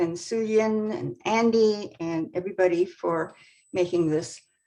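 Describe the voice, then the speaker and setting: A woman with an American accent speaks very slowly at medium pitch with ordinary pitch variation. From California (Oxnard). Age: 90s. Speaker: activist and journalist. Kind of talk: talk.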